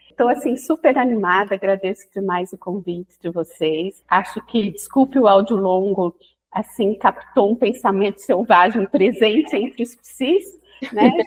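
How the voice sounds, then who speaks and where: Medium pitch and ordinary pitch variation mark a woman's voice. She speaks at a fairly slow pace. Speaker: psychoanalyst. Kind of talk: casual podcast interview.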